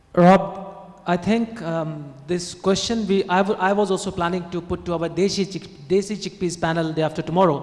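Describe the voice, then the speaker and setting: Noticeable background noise sits behind a man's voice. His pitch is high and his intonation fairly even. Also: moderate pace. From India. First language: not English. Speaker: conference panelist. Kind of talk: panel Q&A answer; conference presentation. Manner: halting.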